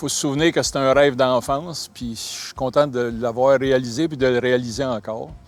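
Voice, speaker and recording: In an unremarkable speaking voice, a man talks at a moderate pace and medium pitch with ordinary pitch variation, hardly any pauses and big swings in loudness. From Quebec, Laval. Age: 60s. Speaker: large-animal veterinarian. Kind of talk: interview testimony.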